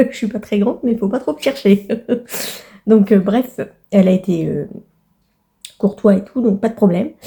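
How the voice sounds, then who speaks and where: Somewhat breathy and dark, mellow in tone, a woman of medium pitch speaks with long, frequent pauses. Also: ordinary pitch variation, moderate pace. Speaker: vlogger. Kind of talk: casual vlog monologue. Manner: halting, many fillers.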